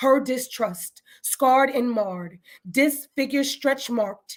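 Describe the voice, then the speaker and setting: Fairly slow speech in an American accent, with ordinary pitch variation. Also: woman. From New Haven, Connecticut. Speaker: spoken word poet. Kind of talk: spoken word performance. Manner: rhythmic.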